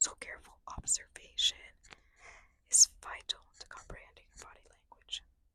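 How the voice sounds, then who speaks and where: A woman whispers at a moderate pace, her sound dry and close with no echo. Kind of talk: reading a book aloud, ASMR. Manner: soft-spoken, light whispering.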